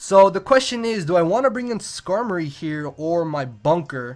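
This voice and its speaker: Speaking at a moderate pace, a man uses lively intonation in a high pitch. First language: not English. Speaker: gaming YouTuber. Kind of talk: live gameplay commentary. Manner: occasional stuttering over words.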